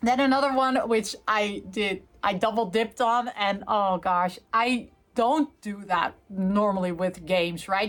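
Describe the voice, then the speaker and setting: A woman with a fairly high pitch talks fairly slowly, her intonation lively. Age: 40s. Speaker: gaming YouTuber. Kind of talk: casual unboxing and review chat. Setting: filming from bed. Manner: hesitant, many fillers.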